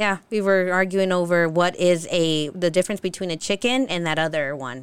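With an American accent, a woman with an unremarkable speaking voice talks at a fairly quick pace, at fairly low pitch with ordinary pitch variation, on a very clean recording with a silent background. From Utah, of Mexican parents. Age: 30s. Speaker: food content creator. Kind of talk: casual chat.

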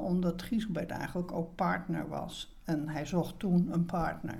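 Over audible room echo, a woman talks at a fairly slow pace with a fairly low pitch, a dark, mellow tone and a somewhat breathy quality. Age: 70s. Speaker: retired theatre producer. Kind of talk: interview.

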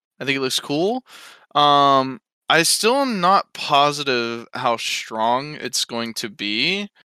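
A man talks with a fairly high pitch, a bright, sharp tone and lively intonation. The recording is very clean, dry and close, with a silent background and no echo. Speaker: gaming podcast co-host. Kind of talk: casual chat.

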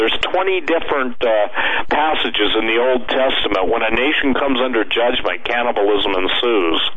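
A man speaks at a medium pitch and moderate pace with lively intonation over noticeable background noise. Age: 60s. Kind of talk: radio interview. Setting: radio show, remote guest. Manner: animated, emphatic.

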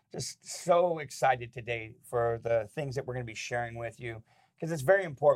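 A man speaks at a medium pitch and a fairly quick pace. His voice is somewhat breathy. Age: 50s. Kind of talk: casual devotional talk. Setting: studio.

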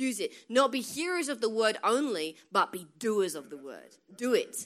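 In a very clean recording with a silent background, a woman speaks in an animated tone with lively intonation. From England. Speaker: guest preacher. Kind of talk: sermon. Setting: church with congregation.

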